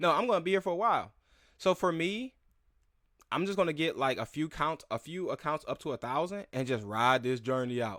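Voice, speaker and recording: Loud and fairly quick, a man with a fairly high, bright and sharp voice makes very wide pitch swings in a very clean, dry, close recording with a silent background and no echo. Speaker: crypto YouTuber. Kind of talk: casual livestream commentary. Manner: halting, many restarts.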